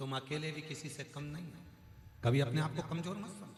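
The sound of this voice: This man has a fairly high pitch and ordinary pitch variation. He speaks at a moderate pace.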